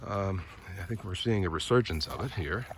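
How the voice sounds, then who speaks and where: With an American accent, a man talks at a fairly slow pace in a relaxed tone and lively intonation, amid noticeable background noise and audible room echo. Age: 60s. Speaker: vlogger, former broadcast journalist. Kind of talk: casual vlog monologue. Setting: outdoors, walking a dog in a park. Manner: relaxed, with frequent fillers.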